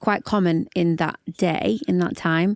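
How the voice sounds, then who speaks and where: In a Yorkshire accent, a woman speaks at a medium pitch with ordinary pitch variation. The sound is dry and close with no echo, very clean against a silent background. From northern England, Yorkshire (Barnsley). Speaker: singer-songwriter and worship leader. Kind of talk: podcast interview. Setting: studio.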